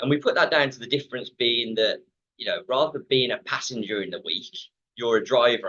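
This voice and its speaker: A man speaks with an English Midlands accent. His pace is very fast. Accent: Midland English. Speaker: fitness company manager. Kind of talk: webinar talk. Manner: many fillers and repetitions.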